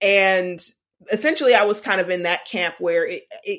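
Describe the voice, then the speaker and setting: On a very clean recording with a silent background, a woman uses an ordinary speaking voice at a medium pitch with ordinary pitch variation. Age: 20s. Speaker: illustrator and animator. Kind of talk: interview. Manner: casual, many fillers.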